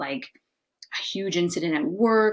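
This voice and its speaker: A woman's unremarkable speaking voice, lively intonation at a moderate pace. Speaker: psychotherapist and life coach. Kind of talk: casual talk-to-camera advice monologue. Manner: casual, filler-heavy.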